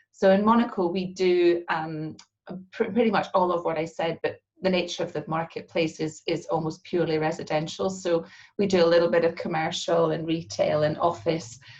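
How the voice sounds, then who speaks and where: A woman with a Scottish accent, fairly low-pitched, ordinary pitch variation, moderate pace. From Scotland. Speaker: real estate agency partner. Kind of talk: interview.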